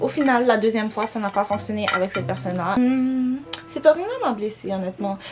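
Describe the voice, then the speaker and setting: Fairly high female speech delivered fairly quickly, over clearly audible background noise. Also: ordinary pitch variation. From Quebec, Montreal. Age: 20s. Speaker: beauty vlogger. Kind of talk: casual chat while doing makeup. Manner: animated; French-English code-switching.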